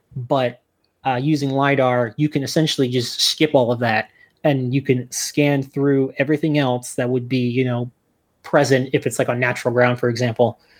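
This man speaks with an American accent at a moderate pace and a medium pitch. His intonation is monotone and flat, and the recording is very clean with a silent background. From New Jersey. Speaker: archaeology PhD student and author. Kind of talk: podcast interview.

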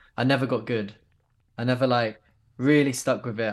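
Against a quiet background, a man with a southern English accent speaks at a medium pitch and a moderate pace. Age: 20s. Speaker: skateboard filmer. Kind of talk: casual chat.

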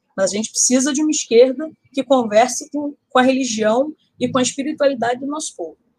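A woman speaks at a fairly quick pace with a high pitch and ordinary pitch variation. Her loudness swings widely. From Rio de Janeiro, north zone. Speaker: podcast co-host. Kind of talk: casual political discussion.

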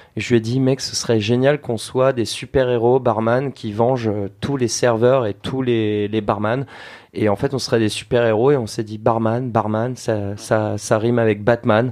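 Over a quiet background, a man with an unremarkable speaking voice talks at a fairly slow pace, medium in pitch, with fairly even intonation. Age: 30s. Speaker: bartender and youtuber. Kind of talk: casual chat.

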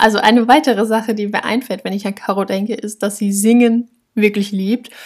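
This woman's voice sits fairly high in pitch. There is a somewhat breathy quality to it. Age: 20s. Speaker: podcast co-host, university student. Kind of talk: casual chat.

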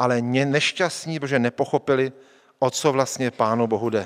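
Over a very clean recording with a silent background, a man speaks in an animated tone at a fairly slow pace. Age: 40s. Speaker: pastor. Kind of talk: sermon.

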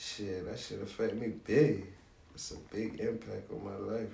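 With an American accent, a man speaks at a moderate pace amid audible room echo. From Savannah, Georgia (US South). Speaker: rapper. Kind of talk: interview.

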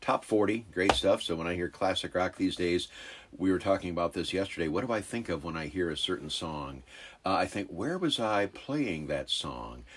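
A man speaks with a very deep, low pitch, lively intonation and vocal fry. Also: moderate pace. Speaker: car salesman, former radio DJ. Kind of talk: casual chat.

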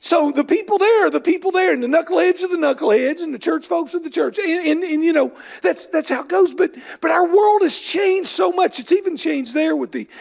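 A man with an Appalachian accent talks at a very fast pace in an extremely high pitch. His loudness swings widely. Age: 60s. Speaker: bishop. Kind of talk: sermon. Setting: church.

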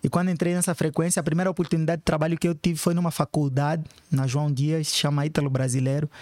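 Very fast and very even in loudness, a man talks at a fairly high pitch with fairly even intonation. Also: dry, close sound with no echo. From Africa (Angola / São Tomé and Príncipe). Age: 30s. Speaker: educational activist. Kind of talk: interview.

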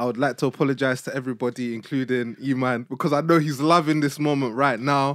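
On a very clean recording with a silent background, a man talks at a very fast pace with fairly even intonation. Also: medium pitch for a man. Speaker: podcast host. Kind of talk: casual chat.

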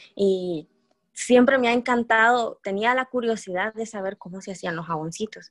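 A plain, everyday voice from a woman, fairly high, at a moderate pace with lively intonation, dry and close with no echo. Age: 20s. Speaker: entrepreneur and pharmacy student. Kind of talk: interview. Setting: remote call.

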